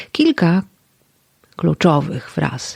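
A woman with a fairly low pitch speaks at a very slow pace, recorded with a dry, close sound with no echo. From Podlasie, eastern Poland. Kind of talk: poetic podcast narration.

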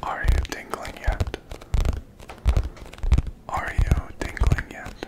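A soft-spoken man whispering at a very slow pace amid loud background noise. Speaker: ASMR creator. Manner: soft ASMR whisper close to mic. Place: home room. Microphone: studio mic.

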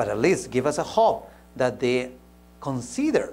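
The voice belongs to a man. A Spanish accent shapes his speech. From Peru. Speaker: pastor; preacher or speaker. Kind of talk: sermon. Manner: halting, with frequent repetitions. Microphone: lapel.

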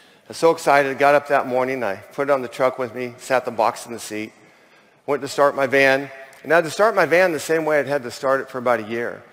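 Very fast and with an American accent, a man speaks at a medium pitch with ordinary pitch variation. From US West Coast. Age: 60s. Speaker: chimney sweep. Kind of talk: testimony. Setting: stage with audience. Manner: animated. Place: stage. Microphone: headset.

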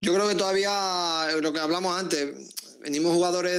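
Using an Andalusian accent, a man with a high voice speaks at a fairly slow pace with fairly even intonation. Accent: Andalusian (Seville), kept. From Seville, Andalusia. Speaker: footballer; guest. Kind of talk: interview. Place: home room. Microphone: earbuds.

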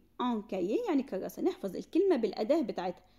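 In an Egyptian accent, a woman speaks with a high pitch, a dark, mellow tone and very wide pitch swings. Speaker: French language teacher. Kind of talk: tutorial.

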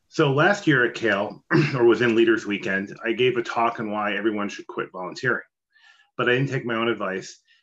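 A man at a very fast pace with ordinary pitch variation, over a quiet background. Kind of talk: panel discussion answer. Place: home room. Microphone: video call.

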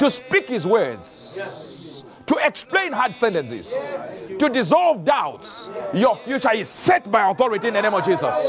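With music in the background, a man talks fairly slowly while his pitch swings very widely. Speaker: preacher. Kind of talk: sermon declaration. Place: studio.

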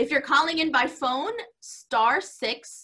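A woman uses a raised, projected voice with a bright, sharp tone over a quiet background. Her pace is very slow. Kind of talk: announcements before worship. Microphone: video call.

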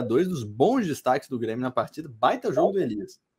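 In a Brazilian accent, a man talks at a fairly quick pace, his pitch swinging very widely. The background is quiet. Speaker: sports commentator. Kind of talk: sports match analysis. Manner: analytical, conversational. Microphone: webcam.

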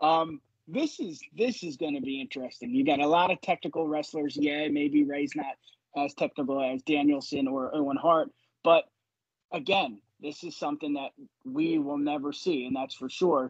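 In a dry, close recording with no echo, a man with a plain, everyday voice speaks at a moderate pace, his fairly high pitch held to fairly even intonation. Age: 30s. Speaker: wrestling podcaster. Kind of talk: casual chat.

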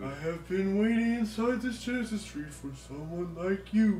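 The speaker uses a put-on character voice at a middle pitch and a moderate pace. There is a slight echo and clear background noise. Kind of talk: mock-solemn game dialogue read aloud. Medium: game stream. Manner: grave, formal, portentous.

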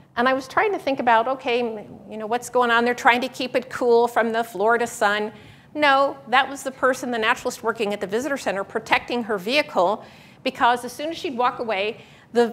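A woman speaks at a fairly quick pace. Her voice is high, with ordinary pitch variation. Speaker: presenter. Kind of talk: lecture. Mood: humorous storytelling. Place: hall. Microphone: lapel.

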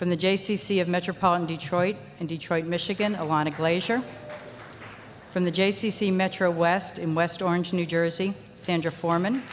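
A woman speaks at a moderate pace with a fairly low pitch. Her intonation is fairly even over light background noise. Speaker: nonprofit board member. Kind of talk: award presentation. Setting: stage with audience. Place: stage. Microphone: podium.

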